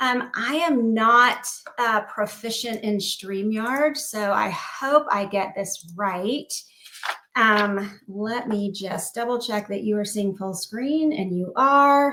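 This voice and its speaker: Over noticeable background noise, a woman speaks very slowly at a fairly high pitch with ordinary pitch variation. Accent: American. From US South, South Carolina. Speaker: cognitive psychologist. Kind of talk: lecture.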